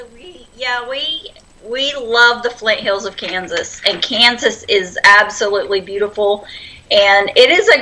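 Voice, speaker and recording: A woman with an American accent at a fairly slow pace, noticeable noise in the background. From Oklahoma, Silver City. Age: 40s. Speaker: homesteader. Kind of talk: casual chat.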